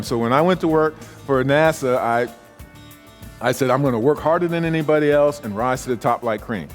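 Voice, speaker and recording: A fairly high-pitched man with an American accent at a fairly quick pace, music in the background. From South Carolina, USA. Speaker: professional keynote speaker and author. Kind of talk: keynote speech with humor and stories. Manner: blunt, conversational, humorous.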